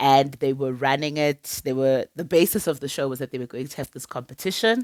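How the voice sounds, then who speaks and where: A woman with a South African accent speaks at a moderate pace with ordinary pitch variation. The recording is very clean and dry, close, with no echo and a silent background. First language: Sepedi. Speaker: TV show reviewer. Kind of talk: casual vlog review. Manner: chatty, repetitive, with many fillers.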